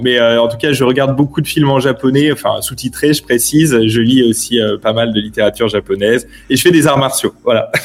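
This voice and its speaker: A man talks at a fairly quick pace with hardly any pauses. His voice sits at medium pitch with fairly even intonation. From Paris, France. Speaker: newspaper editor. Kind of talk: interview. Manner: halting.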